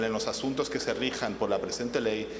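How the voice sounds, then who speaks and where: There is audible room echo and noticeable background noise. A man with a non-native accent talks at a moderate pace. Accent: foreign accent noticeable in Spanish. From half Spanish, half English. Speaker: panel moderator, international arbitration lawyer. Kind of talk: conference panel introduction. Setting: conference panel with audience. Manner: hesitant, many filler sounds.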